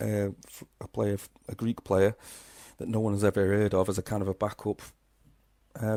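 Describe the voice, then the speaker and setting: The speaker has a Liverpool accent and a dark, mellow tone. The sound is dry and close, with no echo. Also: man, very clean recording, silent background. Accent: Liverpool-sounding. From Crewe, Cheshire, northwest England. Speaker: football podcast co-host. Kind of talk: casual chat.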